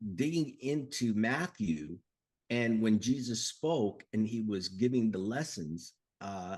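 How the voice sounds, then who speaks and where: Using an unremarkable speaking voice, a man speaks at a fairly slow pace with lively intonation. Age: 60s. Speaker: author. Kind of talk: interview.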